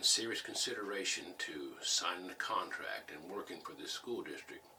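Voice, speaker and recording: Speech moves at a fairly quick pace. Noticeable background noise is present. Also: man. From Missouri (St. James), US Midwest. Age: 70s. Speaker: war veteran and former business teacher. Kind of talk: oral history interview.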